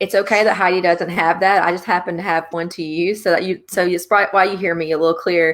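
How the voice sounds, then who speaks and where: A strong Louisiana accent carries this voice at a fairly quick pace. The pitch moves in an ordinary way, with music playing behind it. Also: woman. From Louisiana, central (Alexandria area). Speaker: author interviewer, book group founder. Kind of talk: live video chat interview.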